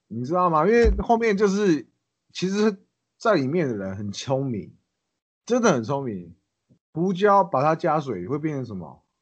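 A man with a fairly high pitch makes very wide pitch swings. Long, frequent pauses break up his speech. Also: moderate pace. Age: 20s. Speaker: ex-convict turned chef. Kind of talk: casual chat.

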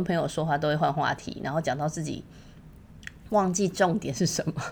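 Speaking at a fairly quick pace, a woman uses an ordinary speaking voice with a fairly low pitch and ordinary pitch variation. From Taiwan. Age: 40s. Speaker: podcast host. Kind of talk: solo podcast monologue.

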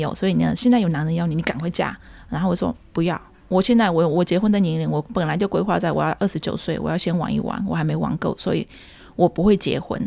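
Speaking at a very fast pace, a woman with a fairly low pitch shows vocal fry. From Myanmar, ethnic Chinese of Yunnan descent. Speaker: community association secretary and Burmese language teacher. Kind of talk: interview, personal life story.

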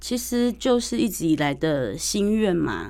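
With vocal fry, a woman speaks in very wide pitch swings. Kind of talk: radio interview.

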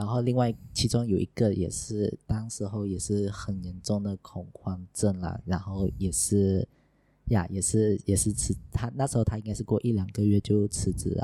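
Fairly low and dark, a man's mellow voice keeps fairly even intonation. The recording is very clean, with a silent background. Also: moderate pace. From Sarawak, East Malaysia. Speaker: former junior doctor turned tutor. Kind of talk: casual chat. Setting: in the hosts' home.

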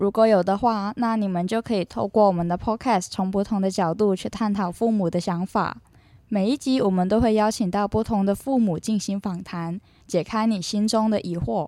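A woman's dark, mellow tone at medium pitch. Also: ordinary pitch variation, moderate pace, very clean recording, silent background. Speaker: student podcast host. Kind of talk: scripted narration.

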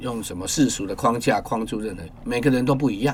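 Pitch varies in an ordinary way across a normal speaking voice here. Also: man. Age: 50s. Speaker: photographer and poet. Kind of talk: interview conversation.

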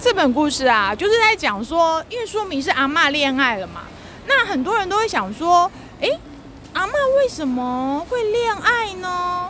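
Amid noticeable background noise, a woman projects a raised voice at an extremely high pitch with very wide pitch swings and a moderate pace. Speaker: children's literature writer. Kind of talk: casual chat. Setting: outdoors at a metro station.

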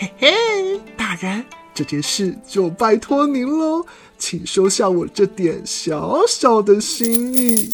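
Spoken slowly in a put-on character voice with big pitch swings, over faint music in the background. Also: woman, fairly high pitch for a woman.

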